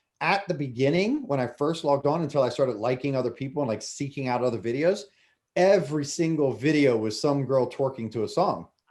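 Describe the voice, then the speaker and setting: A man with an American accent talks at a fairly quick pace. He has an unremarkable speaking voice with ordinary pitch variation. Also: fairly high pitch for a man. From US, Delaware. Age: 40s. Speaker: former chef and restaurant owner. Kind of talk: casual interview chat.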